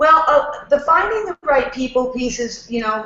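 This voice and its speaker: A woman with a New York accent speaks in a high pitch. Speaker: networking expert. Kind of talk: casual chat. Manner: fast.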